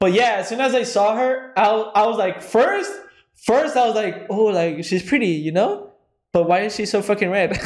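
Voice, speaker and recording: A man with a high pitch and a slight Spanish accent, animated in tone at a moderate pace, with audible room echo. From Mexico, then California Central Valley. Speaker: podcast co-host. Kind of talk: casual chat.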